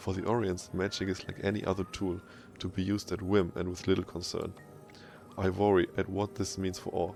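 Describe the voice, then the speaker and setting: A man with a German accent speaks at a very deep, low pitch in a monotone, flat delivery. His pace is fairly quick, with music in the background. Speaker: gaming video creator. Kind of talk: reading in-game lore texts aloud.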